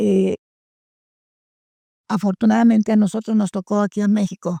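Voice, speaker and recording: A woman speaks at a moderate pace in a dark, mellow, somewhat breathy tone with monotone, flat intonation. The sound is dry and close, with no echo. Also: medium pitch for a woman. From Poland. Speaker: war refugee, survivor. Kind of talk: interview answer.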